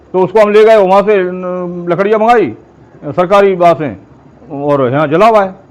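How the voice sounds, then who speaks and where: A man talks in a high-pitched voice as noticeable background noise carries through. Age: 70s. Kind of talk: interview.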